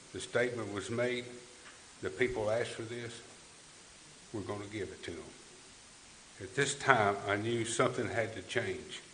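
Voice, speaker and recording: A man with a Tennessee accent speaks at a medium pitch with fairly even intonation, long and frequent pauses, and big swings in loudness. Audible room echo and noticeable background noise surround him. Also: moderate pace. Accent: Southern US, West Tennessee. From West Tennessee. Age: 60s. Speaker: political candidate. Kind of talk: candidate forum speech. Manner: halting.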